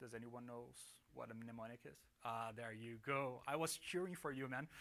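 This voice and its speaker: With a non-native accent and a bright, sharp tone, a man speaks at a moderate pace with ordinary pitch variation amid audible room echo. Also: medium pitch for a man. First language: not English. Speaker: software developer presenter. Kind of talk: conference talk. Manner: casual, many fillers.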